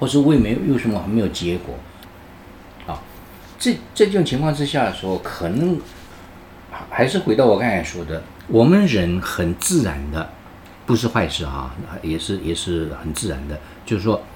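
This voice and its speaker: A man's fairly low voice with vocal fry, very wide pitch swings, and long, frequent pauses. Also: moderate pace. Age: 70s. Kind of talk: interview. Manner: halting, with many fillers.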